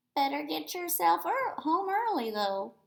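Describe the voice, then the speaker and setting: A woman puts on a character voice, pitched high and swinging very widely in pitch as she goes at a moderate pace. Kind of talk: classroom read-aloud. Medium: read story. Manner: fond, chatty, gently scolding.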